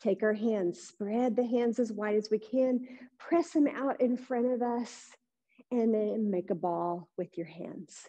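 A woman speaks slowly-ish, at a fairly slow pace, in a calm, gentle tone that is also dark and mellow, with a fairly high pitch. Her pitch varies in an ordinary way, and the background is quiet. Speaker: yoga instructor. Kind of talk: live-streamed guided yoga class instruction. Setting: online live stream, video class. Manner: calm, gentle, soothing, unhurried cueing; warm, friendly, encouraging. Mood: calm, gentle guiding. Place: gym.

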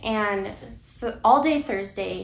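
A woman talks at a very slow pace. Audible room echo surrounds her voice. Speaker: vlogger telling her story. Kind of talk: casual vlog chat. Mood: serious, emotional personal story. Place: home room. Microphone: camera far.

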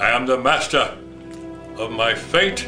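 A man at a very slow pace, with clear music in the background. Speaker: grandfather. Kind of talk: poetry reading. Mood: solemn, measured. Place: home room. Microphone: camera far.

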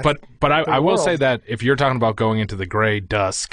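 A man with an American accent talks at a fairly low pitch with ordinary pitch variation. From Quincy, Massachusetts. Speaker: podcast co-host.

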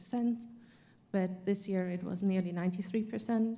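A woman speaks with a German accent. Her tone is dark and mellow. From Germany. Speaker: panelist plant pathologist. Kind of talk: panel discussion. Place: hall. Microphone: handheld.

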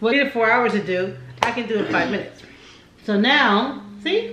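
A woman's very slow delivery comes through noticeable background noise. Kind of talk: casual vlog chat. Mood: playful, laughing. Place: home room. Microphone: camera far.

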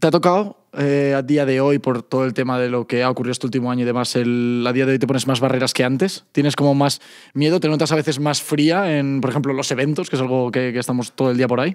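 A man speaks very fast in a Castilian accent, with hardly any pauses. The background is quiet. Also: fairly even intonation. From Spain. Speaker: podcast host. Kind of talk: casual chat. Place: studio. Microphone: studio mic.

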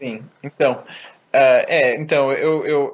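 A man is speaking. His pace is very slow. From Germany and Brazil. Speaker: philosophy professor. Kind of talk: interview conversation. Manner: halting, frequent repetitions.

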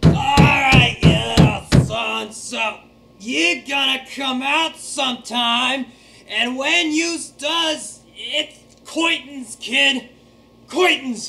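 A man uses a raised, projected voice. He speaks at a very slow pace. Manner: menacing, threatening.

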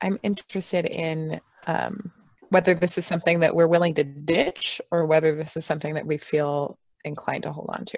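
A woman's fairly low voice, a plain, everyday voice, at a fairly quick pace with fairly even intonation, dry with no echo against a quiet background. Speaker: tabletop role-play player. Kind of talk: casual game chat. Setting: video call. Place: home room. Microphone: video call.

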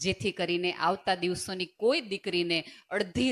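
A woman speaks at medium pitch in a plain, everyday voice. The recording is very clean, with a silent background. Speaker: motivational speaker. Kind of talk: motivational speech.

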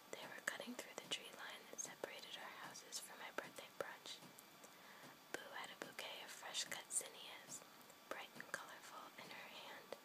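A whispered voice over noticeable background noise keeps a moderate pace. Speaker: ASMR content creator. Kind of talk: bedtime story reading.

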